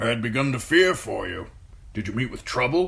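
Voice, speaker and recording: A man in a put-on character voice, raspy and medium-pitched, with lively intonation at a fairly quick pace over light background noise. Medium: read story.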